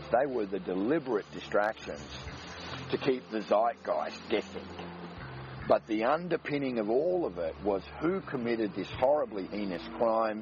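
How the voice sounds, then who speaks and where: Noticeable background noise sits behind a man talking at a moderate pace. His medium-pitched voice swings very widely in pitch. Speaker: podcast host. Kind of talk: radio dj patter, smooth mellow spiritual-guide banter between tracks. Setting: radio-style show in a studio, playing music between segments. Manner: laid-back, relaxed, warm and cheerfully hippie-ish, rolling through music intros; wordy and esoteric, astrology and quantum talk, fluent, flowing delivery.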